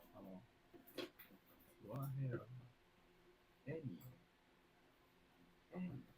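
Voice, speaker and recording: A man at a medium pitch with a dark, mellow, somewhat breathy tone and lively intonation, at a fairly slow pace with long, frequent pauses and audible room echo. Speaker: artist streaming a live sketch. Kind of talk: casual commentary while drawing. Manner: casual, slangy. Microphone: close mic picks up breathing.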